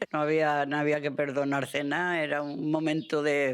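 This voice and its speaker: Very deep, low-pitched female speech, fairly slow in pace. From Andalusia, Spain. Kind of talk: interview answer.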